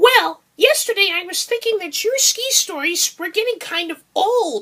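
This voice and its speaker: Doing a put-on character voice, a woman speaks at a moderate pace in an extremely high, squeaky pitch with very wide pitch swings. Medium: read story.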